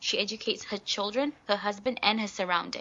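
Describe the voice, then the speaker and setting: A woman with a Malaysian accent talks at a very fast pace with fairly even intonation. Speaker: beauty pageant winner and ambassador. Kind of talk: interview. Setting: Skype call.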